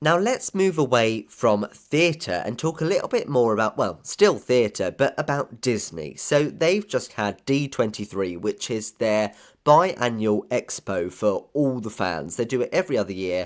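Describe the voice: A man speaks at a fairly slow pace in a medium pitch. His intonation is lively.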